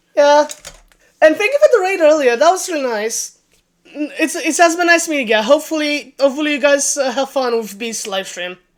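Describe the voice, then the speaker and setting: A woman with a non-native accent, high in pitch, with lively intonation at a fairly quick pace. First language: not English. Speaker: vtuber streamer. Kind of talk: casual livestream chat. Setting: livestream.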